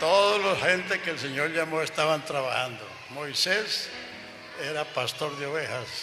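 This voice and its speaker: Over noticeable background noise, a man with a fairly high voice speaks at a fairly slow pace with ordinary pitch variation. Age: 80s+. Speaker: pastor. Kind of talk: interview.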